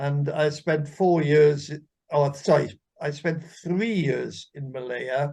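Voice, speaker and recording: In a Welsh accent, the voice is dark and mellow, somewhat breathy, very slow and fairly even in intonation. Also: man, fairly high pitch for a man. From Wales. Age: 80s+. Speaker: armed forces veteran. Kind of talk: casual interview.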